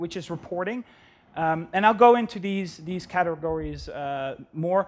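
The speaker has a Brabant accent and ordinary pitch variation. Delivery is fairly slow. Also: man. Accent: Dutch, soft Brabant G. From southern Netherlands, Brabant. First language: Dutch. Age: 30s. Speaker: data architect, conference speaker; conference speaker. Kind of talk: conference talk. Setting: stage with audience. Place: stage. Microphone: headset.

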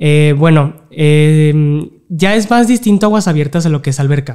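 Against a quiet background, the voice has a dark, mellow tone. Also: man. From Mexico. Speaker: open water swimmer; guest. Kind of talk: casual interview. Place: studio. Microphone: studio mic.

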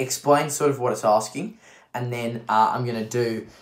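The background is quiet, and audible room echo surrounds the voice. A man talks at a fairly quick pace. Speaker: maths tutor. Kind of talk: tutorial. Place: home room. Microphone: webcam.

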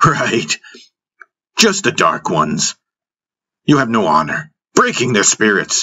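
Slow, put-on character voice from a man, fairly low in pitch, bright and sharp in tone with a slightly husky edge and very wide pitch swings

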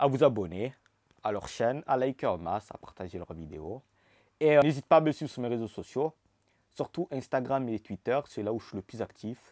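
A man talks at a moderate pace with lively intonation. His loudness swings widely, against a quiet background. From Marseille, southern France. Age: 20s. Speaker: YouTuber. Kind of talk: casual vlog Q&A. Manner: animated. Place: home room. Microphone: lapel.

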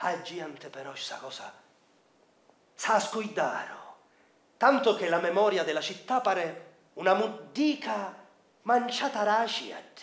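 A man speaks very slowly in a Sicilian accent, his pitch high and his intonation lively. Long, frequent pauses and big swings in loudness stand out, with audible room echo around him. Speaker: traditional Sicilian storyteller. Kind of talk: theatrical storytelling narration. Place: stage.

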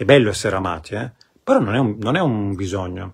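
In a quiet setting, a man speaks in a fairly low, somewhat breathy voice. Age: 40s. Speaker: spiritual coach. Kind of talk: live stream talk. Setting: live video stream. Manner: halting. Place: home room. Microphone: phone near.

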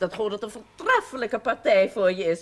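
A woman speaks with very wide pitch swings. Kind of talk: scripted drama dialogue.

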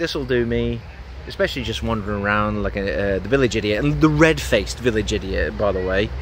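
A man at a fairly quick pace and fairly low pitch, with very wide pitch swings, dry sound with no echo and light background noise. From England. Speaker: gaming YouTuber. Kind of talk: casual vlog monologue. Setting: outdoors on a beach. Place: beach. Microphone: phone near.

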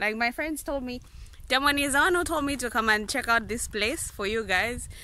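The voice moves at a fairly quick pace with ordinary pitch variation and a bright, sharp tone. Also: woman, fairly high pitch for a woman.

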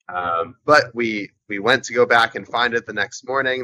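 A man with an American accent talks at a moderate pace in a bright, sharp tone, with light background noise behind him. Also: dry sound with no echo. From United States. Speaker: adventure sports athlete and paramotor pilot; interview guest. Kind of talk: interview. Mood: friendly, amused. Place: boat. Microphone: video call.

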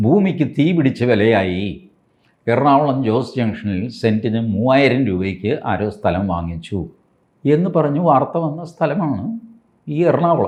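Very wide pitch swings in a medium-pitched male voice. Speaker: political commentator. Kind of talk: political commentary monologue. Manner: conversational, halting phrasing.

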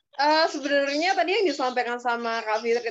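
The speech moves fairly quickly. Its intonation is lively. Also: woman. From Indonesia. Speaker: activist; talk show guest. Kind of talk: webinar talk. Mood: thoughtful, earnest. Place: home room. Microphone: video call.

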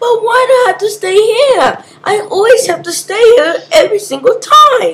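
A female-sounding, put-on character voice, extremely high in pitch, at a moderate pace. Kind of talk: amateur comic voice acting. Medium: machinima. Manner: complaining, then determined.

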